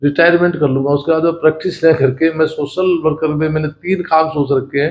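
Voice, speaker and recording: A man's fairly high voice at a moderate pace, with monotone, flat intonation. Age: 50s. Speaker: lawyer. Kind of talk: interview. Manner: halting.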